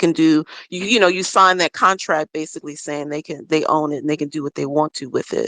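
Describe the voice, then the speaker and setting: Someone speaks at a moderate pace against a quiet background. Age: 60s. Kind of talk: casual chat. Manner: halting.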